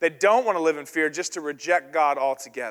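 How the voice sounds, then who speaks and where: Speaking at a very fast pace, a man with an American accent shows ordinary pitch variation. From US South. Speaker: pastor. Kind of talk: sermon.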